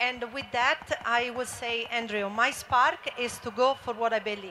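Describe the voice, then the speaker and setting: At a high pitch and with fairly even intonation, a woman with an Italian accent talks over noticeable background noise. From Italy. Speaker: former motocross racer and founder. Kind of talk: panel discussion. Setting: stage with audience.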